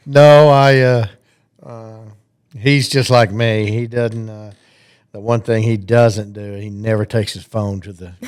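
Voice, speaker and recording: A man with a Southern US accent, fairly even intonation and a fairly slow pace. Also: medium pitch for a man. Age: 60s. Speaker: retiring high school football coach. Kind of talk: casual interview.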